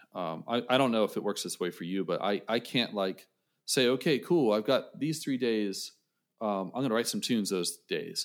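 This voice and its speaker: Here is an unremarkable speaking voice: a man of medium pitch speaking at a moderate pace with lively intonation. The recording is very clean, with a silent background. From western Pennsylvania, Johnstown. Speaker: saxophonist and music educator. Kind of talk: casual interview chat.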